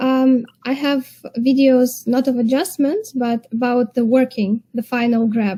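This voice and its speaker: Fairly slow pace and a dark, mellow tone with a non-native accent. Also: woman. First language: not English. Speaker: eyelash extension technician and tweezer seller. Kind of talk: livestream chat.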